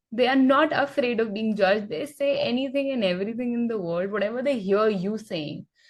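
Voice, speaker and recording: A woman with an Indian accent, high-pitched, at a moderate pace with lively intonation. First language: Hindi. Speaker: English teacher. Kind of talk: podcast interview on learning English.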